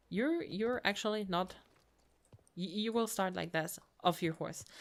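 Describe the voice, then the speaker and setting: A woman speaks with a German accent on a very clean recording with a silent background. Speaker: gamer. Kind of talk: let's play commentary. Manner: halting; reads game dialogue aloud.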